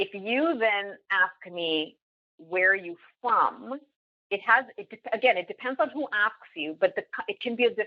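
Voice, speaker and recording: A woman with a plain, everyday voice speaks at a fairly high pitch and a moderate pace. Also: lively intonation. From Canada, Toronto area. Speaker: business leader and podcaster. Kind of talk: podcast interview.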